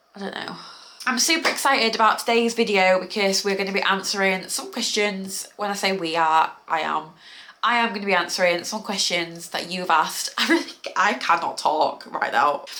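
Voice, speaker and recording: Over noticeable background noise, a woman with a British accent speaks at a medium pitch and a moderate pace with lively intonation. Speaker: lifestyle vlogger. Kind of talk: casual Q&A vlog.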